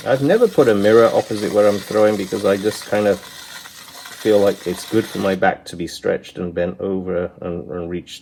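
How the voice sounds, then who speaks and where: An unremarkable speaking voice from a man, fairly low in pitch, with ordinary pitch variation. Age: 60s. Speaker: potter. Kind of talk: tutorial. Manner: casual, relaxed.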